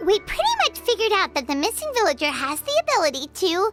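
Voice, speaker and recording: An extremely high, squeaky put-on character voice at a very fast pace, with clear music in the background. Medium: machinima. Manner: excitable, fast, exclamatory.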